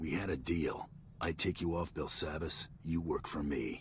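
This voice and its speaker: In a put-on character voice, a man growls at a very deep, low pitch and a moderate pace over clear background noise. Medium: video game. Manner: curt, dry.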